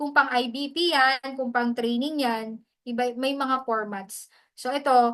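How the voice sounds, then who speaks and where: Against a quiet background, a woman with a high voice talks fairly slowly with fairly even intonation. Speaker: hosting skills mentor. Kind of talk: online training session.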